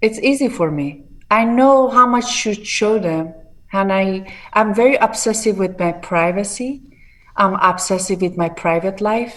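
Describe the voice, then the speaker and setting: A woman reads at a fairly slow pace in an Iranian accent. Her pitch is medium, with ordinary variation. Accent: Iranian (Persian) accent in English. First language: Persian. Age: 40s. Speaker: bodybuilder and fitness entrepreneur. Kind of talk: interview.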